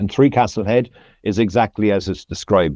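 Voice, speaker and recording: With a Cork accent, a man speaks at a moderate pace and a fairly low pitch in a dark, mellow tone. The sound is dry and close with no echo, over a quiet background. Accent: Cork Irish. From Ireland, County Cork. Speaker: landscape photographer. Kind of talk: podcast interview.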